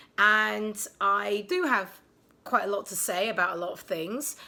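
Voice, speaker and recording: A woman with a British accent, medium pitch and a bright, sharp tone, on a very clean recording with a silent background. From England, London. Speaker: vlogger. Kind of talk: casual vlog monologue. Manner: hesitant, many ums; sarcastic, deadpan.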